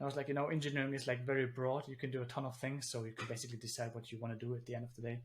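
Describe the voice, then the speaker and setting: Talking at a very fast pace, a man with a German accent keeps a medium pitch. His voice is somewhat breathy, with fairly even intonation. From Germany. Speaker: engineer and founder. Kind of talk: interview conversation.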